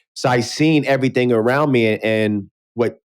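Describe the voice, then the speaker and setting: A man of medium pitch with a New York accent uses ordinary pitch variation. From New York City, South Bronx. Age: 40s. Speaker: podcast host. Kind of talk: casual interview chat.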